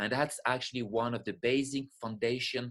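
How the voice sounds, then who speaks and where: At a moderate pace, a man with a French accent speaks at a medium pitch against a quiet background. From France, French Alps. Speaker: spiritual teacher and breathwork facilitator. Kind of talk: webinar lecture. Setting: live online webinar.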